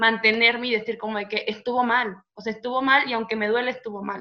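A woman talks at a fairly quick pace in a fairly high pitch with ordinary pitch variation. She has a plain, everyday voice. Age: 20s. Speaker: psychology student. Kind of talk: casual chat.

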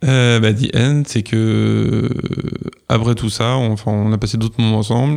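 In an unremarkable speaking voice, a man talks fairly slowly at a medium pitch, his intonation fairly even and his loudness very even. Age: 30s. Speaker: podcast guest sharing love story. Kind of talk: casual interview, personal testimony.

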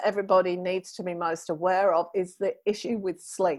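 In a British accent, a woman speaks at medium pitch and a moderate pace. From UK. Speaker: menopause podcaster. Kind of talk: interview conversation. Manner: animated.

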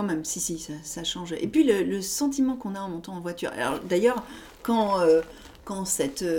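A woman speaks at a moderate pace in a medium pitch, her intonation lively, with noticeable background noise. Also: big swings in loudness. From Paris, France. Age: 40s. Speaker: author. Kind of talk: casual interview. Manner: halting, many fillers.

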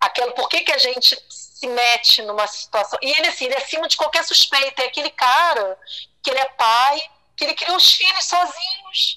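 The voice is raised and projected, with very wide pitch swings. It moves at a moderate pace. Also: woman. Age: 50s. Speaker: guest sharing personal story. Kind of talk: testimony. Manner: animated.

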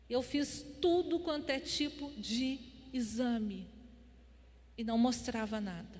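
A woman with a high voice and ordinary pitch variation talks at a very slow pace, leaving long, frequent pauses, with audible room echo. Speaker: pastor. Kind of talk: sermon.

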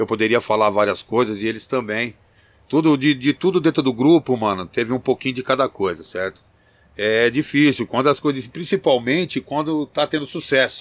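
A man with an unremarkable speaking voice talks at a moderate pace and medium pitch with lively intonation, in a dry, close sound with no echo and a very clean recording with a silent background. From Campinas, São Paulo state, Brazil. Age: 50s. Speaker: rapper, group vocalist. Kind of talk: interview chat. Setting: studio.

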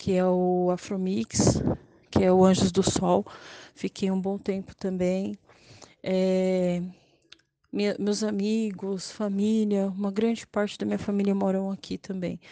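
Fairly slow, flat monotone delivery with long, frequent pauses, in a dry, close sound with no echo. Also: woman. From São Paulo, Grajaú. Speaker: local resident. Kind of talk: testimony.

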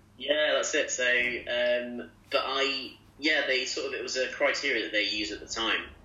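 Noticeable background noise sits under this recording. A man speaks at a moderate pace. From English East Midlands, Loughborough. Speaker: junior doctor and clinical teaching fellow. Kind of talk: interview. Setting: video call from home kitchen.

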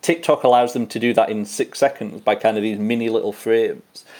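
A man with an English accent speaks very fast at a medium pitch in a dark, mellow tone, on a very clean recording with a silent background. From western England. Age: 30s. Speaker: poet and lecturer. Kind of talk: interview.

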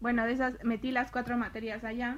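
The woman's voice is pitched fairly high. Her delivery is flat and monotone. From Mexico. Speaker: university student. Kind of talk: casual interview.

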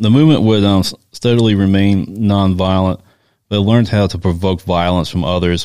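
In a very clean recording with a silent background, a man with an American accent speaks at a moderate pace, his very deep, low voice dark and mellow in tone. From US South small town. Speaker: podcast co-host. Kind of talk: casual chat with reading from notes.

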